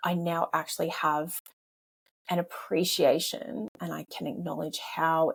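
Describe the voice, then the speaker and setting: The sound is dry and close, without any echo, as an Australian-accented woman talks. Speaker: podcast host, former police officer and life coach. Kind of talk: interview conversation. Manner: repetitive, stammering.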